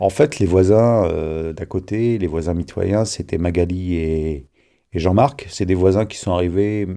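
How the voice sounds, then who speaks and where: Over a quiet background, a man with a very deep, low pitch and a dark, mellow tone speaks at a fairly slow pace with ordinary pitch variation. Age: 50s. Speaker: interviewee, homeowner telling a neighbour story. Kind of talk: personal storytelling. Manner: halting, with repetitions and fillers.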